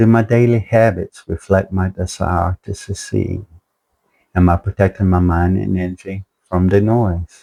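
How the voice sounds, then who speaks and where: Over a silent background on a very clean recording, a man speaks with a very deep, low pitch, fairly even intonation and a fairly slow pace. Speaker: motivational video creator. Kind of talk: motivational talk. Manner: halting, speech affected by health problems.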